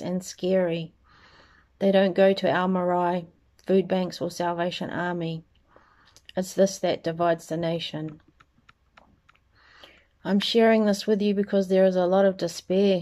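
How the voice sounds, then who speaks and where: Against a quiet background, a woman with a dark, mellow tone speaks fairly slowly in a monotone, flat way, with long, frequent pauses. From New Zealand. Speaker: spoken word poet. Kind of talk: spoken word poetry reading. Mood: earnest, serious. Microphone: phone near.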